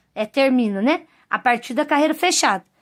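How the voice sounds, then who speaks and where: Against a very clean recording with a silent background, a woman talks with lively intonation. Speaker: crochet teacher. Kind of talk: tutorial.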